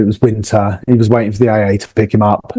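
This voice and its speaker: With a southern English accent, a man speaks very fast in a fairly low, dark, mellow voice with monotone, flat intonation. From southern England, near London. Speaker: motorcycle traveller. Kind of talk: casual chat.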